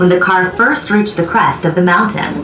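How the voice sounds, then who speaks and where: A woman speaks with noticeable background noise present. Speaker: recorded tour narrator. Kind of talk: tour narration. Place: train. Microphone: pa.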